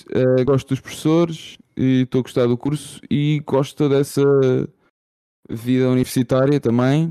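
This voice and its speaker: A man's very slow delivery at medium pitch, dark and mellow in tone, with ordinary pitch variation and a dry, close sound with no echo. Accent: Lisbon. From Portugal, Lisbon. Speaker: podcast co-host. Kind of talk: casual chat.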